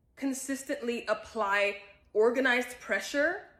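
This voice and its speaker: With an American accent, a woman talks at a fairly slow pace. Her pitch is fairly high, with ordinary variation. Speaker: self-development content creator. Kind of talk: casual talk to camera, social commentary.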